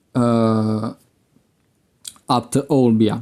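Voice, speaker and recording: A man with a Sardinian accent speaks in a dark, mellow tone at a medium pitch, his intonation monotone and flat. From Sardinia (Oliena, Nuoro area). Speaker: podcast host. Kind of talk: unscripted monologue.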